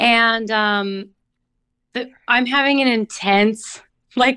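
A woman speaks slowly at a fairly high pitch with ordinary pitch variation. Her tone is bright and sharp, yet clear and smooth.

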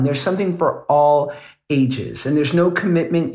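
A somewhat breathy man with a fairly high pitch and fairly even intonation. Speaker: podcast co-host. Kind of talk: casual chat and ad reads.

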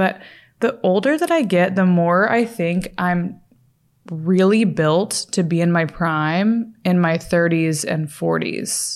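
In a very clean recording with a silent background, a woman speaks slowly at a fairly low pitch.

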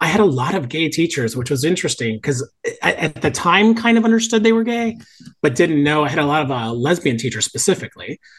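With a slight Southern US accent, a man races along at a very fast pace in a fairly high pitch with very wide pitch swings. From Miami, Florida. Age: 50s. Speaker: podcast guest, theater lover. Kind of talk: casual chat. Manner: animated.

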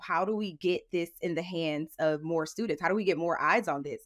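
In an American accent, an unremarkable speaking voice keeps a fairly quick pace and ordinary pitch variation. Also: woman. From US Midwest, St. Louis, Missouri. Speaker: reality TV contestant and political consultant. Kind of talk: interview.

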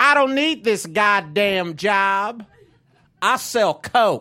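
A man's raised, projected voice has a bright, sharp tone. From Texas, Fort Worth. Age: 30s. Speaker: stand-up comedian. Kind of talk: stand-up. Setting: stage with audience.

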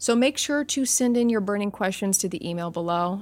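A woman's medium-pitched voice with ordinary pitch variation, an ordinary speaking voice, on a very clean recording with a silent background. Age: 30s. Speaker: podcast host. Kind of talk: casual listener Q&A; storytelling narration.

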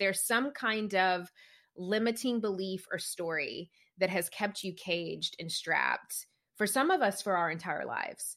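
In a Southern US accent, a woman with a bright, sharp tone speaks at a moderate pace with ordinary pitch variation, on a very clean recording with a silent background. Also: medium pitch for a woman. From small-town rural Tennessee. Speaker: business coach and podcast host. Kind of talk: interview conversation.

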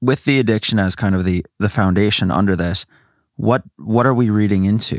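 In a plain, everyday voice, a man speaks fairly quickly at a fairly low pitch with ordinary pitch variation and very even loudness, on a very clean recording with a silent background. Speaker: guest co-host. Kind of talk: casual chat.

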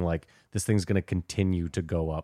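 A man speaks with a Canadian accent. The recording is very clean with a silent background, and the sound is dry and close with no echo. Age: 40s. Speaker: podcast host. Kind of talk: casual chat.

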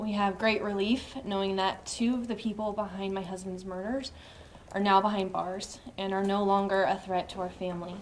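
A woman speaks at medium pitch and a moderate pace, her intonation monotone and flat. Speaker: murder victim's widow. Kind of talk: press statement.

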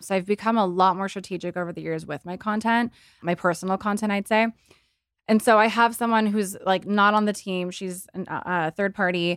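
Speaking fairly quickly in a plain, everyday voice, a woman at medium pitch is heard in a very clean, dry, close recording with no echo and a silent background. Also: fairly even intonation. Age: 30s. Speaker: influencer and entrepreneur. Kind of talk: casual chat.

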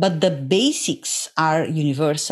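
A woman talks in an Italian accent. The recording is very clean, with a silent background. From Italy, Naples. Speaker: epigenetics researcher and lecturer. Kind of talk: interview.

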